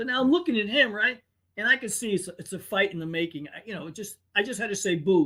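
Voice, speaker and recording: A raised, projected voice with a bright, sharp tone races along at a very fast pace. Its intonation is lively, with big swings in loudness. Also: man, high pitch for a man. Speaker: podcast host. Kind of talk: casual banter, livestream chat. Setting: live stream, online. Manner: joking, animated.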